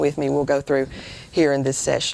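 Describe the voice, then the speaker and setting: An American accent marks this voice. It belongs to a woman. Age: 60s. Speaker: women's speaker, career teacher. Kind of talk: sermon.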